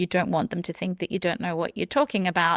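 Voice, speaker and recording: A woman with an Australian accent speaks at a medium pitch, her voice dry and close with no echo on a very clean recording with a silent background. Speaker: burnout coach, entrepreneur. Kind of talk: interview podcast.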